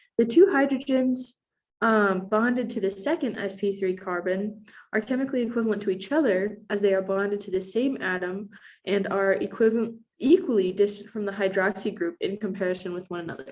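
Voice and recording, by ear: Speaking at a fairly quick pace, a woman has a medium pitch, ordinary pitch variation and a slightly mellow tone.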